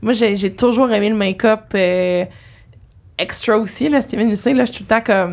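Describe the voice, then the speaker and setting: A woman speaks in an unremarkable speaking voice at a fairly high pitch. Her pace is moderate and her intonation fairly even. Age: 20s. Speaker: podcast host. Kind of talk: casual interview chat. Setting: studio. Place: studio. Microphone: studio mic.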